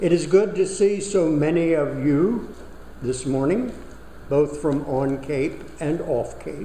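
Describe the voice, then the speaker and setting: Very slowly and with ordinary pitch variation, a man with a fairly high voice speaks over noticeable background noise. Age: 80s+. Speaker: Unitarian Universalist minister. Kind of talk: sermon.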